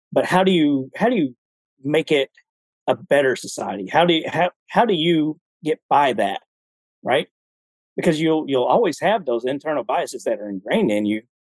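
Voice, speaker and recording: This man talks at a moderate pace with a Southern US accent, his fairly high voice swinging very widely in pitch. He leaves long, frequent pauses. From Alabama, US South. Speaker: retired army veteran. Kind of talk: casual chat. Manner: halting, with many repetitions.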